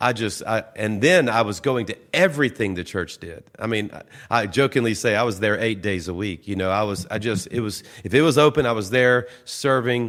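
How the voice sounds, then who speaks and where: A man with a Southern US accent, medium pitch, lively intonation and a moderate pace, on a very clean recording with a silent background. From US South, Louisiana (Baton Rouge). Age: 60s. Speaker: pastor. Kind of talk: casual interview.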